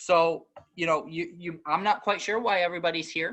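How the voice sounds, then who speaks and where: The man's tone is bright and sharp. Little sounds behind him in the quiet background. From northeastern US. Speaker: librarian. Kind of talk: webinar presentation. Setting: online webinar. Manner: fast; hesitant, many fillers.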